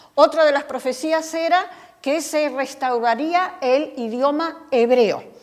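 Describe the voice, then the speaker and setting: Speaking at a very slow pace, a woman uses a high pitch with ordinary pitch variation, and audible room echo surrounds her voice. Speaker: Bible study teacher. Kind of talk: Bible study lecture.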